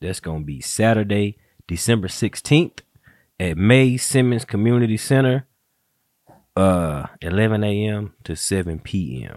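A man talks in a normal speaking voice at a fairly low pitch, with lively intonation and big swings in loudness. The sound is dry and close with no echo. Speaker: podcast host. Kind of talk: casual chat. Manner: relaxed, joking.

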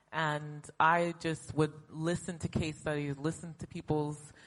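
In a very deep, low voice, a woman speaks with monotone, flat intonation. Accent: American. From United States. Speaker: health startup co-founder and CEO. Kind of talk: panel discussion. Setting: stage with audience.

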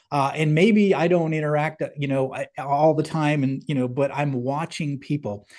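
With a normal speaking voice, a man talks at a moderate pace and a fairly high pitch, his pitch varying in an ordinary way over a quiet background. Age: 50s. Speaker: company CEO and leadership author, navy veteran. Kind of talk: casual interview.

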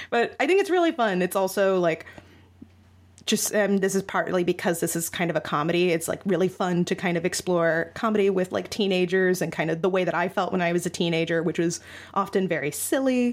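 With a plain, everyday voice at a medium pitch, a woman talks in fairly even intonation and very even loudness. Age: 20s. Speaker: young adult novelist and writing mentor. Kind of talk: interview.

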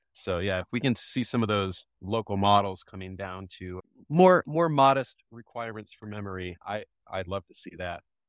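A man's plain, everyday voice at a fairly low pitch, moderate pace and ordinary pitch variation, with big swings in loudness and a dry, close sound with no echo on a very clean recording with a silent background. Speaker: software developer. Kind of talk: casual tech discussion. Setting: live audio space call.

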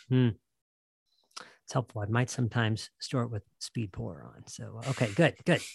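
The speaker has an American accent and vocal fry, moving at a moderate pace with long, frequent pauses. Pitch varies in an ordinary way, while loudness swings widely. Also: man, medium pitch for a man. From US Midwest. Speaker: podcast host. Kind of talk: interview podcast.

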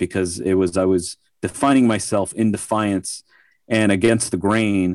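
A man's ordinary speaking voice in an American accent, fairly low in pitch, with fairly even intonation and a moderate pace. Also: dry, close sound with no echo. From New York. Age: 30s. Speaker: audio gear designer. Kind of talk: casual chat.

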